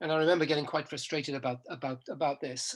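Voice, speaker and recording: A man with an English accent. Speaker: professor. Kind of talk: interview. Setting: podcast recording. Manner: halting.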